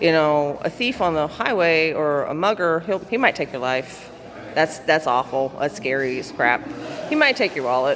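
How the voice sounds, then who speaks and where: A woman with a very deep, low voice speaks in a Southern US accent with lively intonation. Noticeable background noise runs behind her. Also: moderate pace. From US South. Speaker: vlogger. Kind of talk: personal vlog monologue. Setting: waiting room at city hall.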